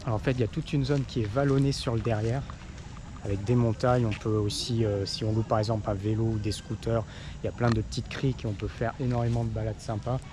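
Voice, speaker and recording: A soft-spoken man talks at a medium pitch and a very fast pace. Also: fairly even intonation. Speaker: travel vlogger. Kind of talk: travel vlog narration. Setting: outdoors at a tourist site. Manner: hesitant, many fillers.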